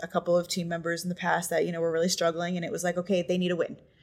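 A woman with an American accent talks at a very fast pace, fairly low in pitch. Her intonation is monotone and flat. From Boston. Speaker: podcast co-host and realtor. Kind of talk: casual interview chat.

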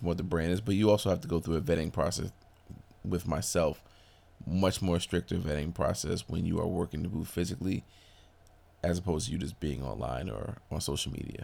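A man with an American accent talks at a fairly quick pace at a very deep, low pitch, his dark, mellow tone showing vocal fry and lively intonation. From Brooklyn, New York. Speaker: clothing company owner. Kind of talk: interview. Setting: fitness expo.

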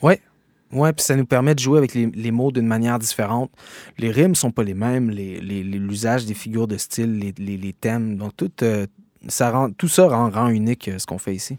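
In a very clean recording with a silent background and a dry, close sound with no echo, a man with a Quebec accent speaks at a moderate pace, his medium pitch showing ordinary pitch variation. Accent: Québécois. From Quebec, Gatineau. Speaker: rapper and slam poet. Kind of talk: interview. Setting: studio.

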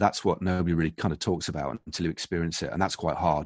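A man with a British accent at a fairly quick pace, fairly even in intonation, on a dry, close recording with no echo and a quiet background. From UK. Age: 50s. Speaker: former professional cyclist. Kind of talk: interview. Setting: home podcast studio. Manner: halting, many fillers and repetitions.

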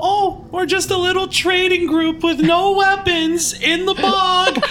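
A put-on character voice at an extremely high pitch comes through over clear background noise. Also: fairly slow pace. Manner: disguised, feigning innocence.

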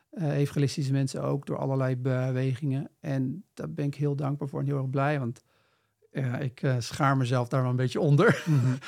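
A man with an unremarkable speaking voice at a medium pitch, at a moderate pace with fairly even intonation, in a very clean recording with a silent background. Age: 40s. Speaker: missionary and business mentor. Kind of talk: interview conversation.

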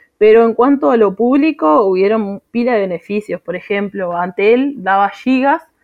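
A woman speaks with a Uruguayan accent, her voice fairly high with lively intonation. She keeps a moderate pace with hardly any pauses. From Uruguay, Tacuarembó. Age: 20s. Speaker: accountant and mother. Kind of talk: personal testimony. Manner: hesitant, many fillers.

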